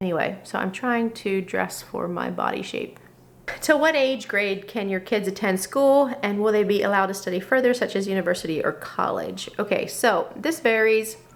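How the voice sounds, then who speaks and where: A woman with an American accent talks at a moderate pace, her medium pitch showing ordinary variation. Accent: slight Pennsylvania Dutch. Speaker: Mennonite mom vlogger. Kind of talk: Q&A vlog, reading and answering viewer questions. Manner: casual, conversational with fillers.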